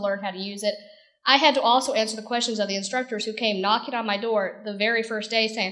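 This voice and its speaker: With an American accent, a woman speaks at a very fast pace and a fairly high pitch, with ordinary pitch variation and audible room echo. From northern US. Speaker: e-learning coordinator. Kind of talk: conference presentation. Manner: casual, conversational.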